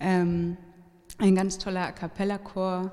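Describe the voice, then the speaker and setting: A woman speaks at a very slow pace. Her voice is fairly low in pitch with a dark, mellow tone. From Hamburg, Germany. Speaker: singer-songwriter. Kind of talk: casual interview. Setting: live venue with audience.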